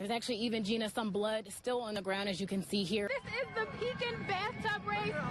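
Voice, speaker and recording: Crowd noise fills the background as a woman with an American accent speaks at a fairly high pitch and fairly quick pace. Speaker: TV news reporter and anchor. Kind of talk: TV news anchor read.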